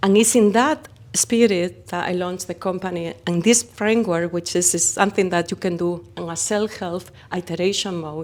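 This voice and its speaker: A woman with a Spanish accent speaks at a moderate pace, using a medium pitch and ordinary pitch variation. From Spain. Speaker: company founder. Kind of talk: interview. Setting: conference.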